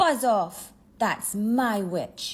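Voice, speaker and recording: On a very clean recording with a silent background, a woman uses a put-on character voice that is fairly high, croaky and growling. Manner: harsh.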